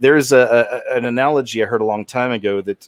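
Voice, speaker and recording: Here a man has an unremarkable speaking voice, talking at a fairly quick pace with fairly even intonation in a dry, close sound with no echo. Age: 40s. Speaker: channel host talking with callers. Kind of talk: casual call-in chat.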